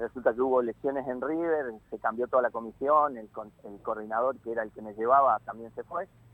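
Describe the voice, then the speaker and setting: The speaker is a man with a medium pitch. His loudness swings widely. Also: ordinary pitch variation, fairly quick pace. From Argentina, northern Santa Fe province (Malabrigo). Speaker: football coach. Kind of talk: interview. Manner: halting, many fillers.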